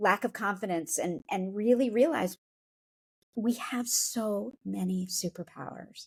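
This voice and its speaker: Somewhat breathy speech comes at a fairly slow pace with an American accent. The sound is dry and close, with no echo. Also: woman, medium pitch for a woman, lively intonation. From Upstate New York. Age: 50s. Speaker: company founder and author. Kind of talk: podcast interview.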